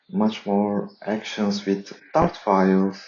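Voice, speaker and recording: The man speaks with a non-native accent. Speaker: software developer. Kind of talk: tutorial. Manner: halting, many fillers.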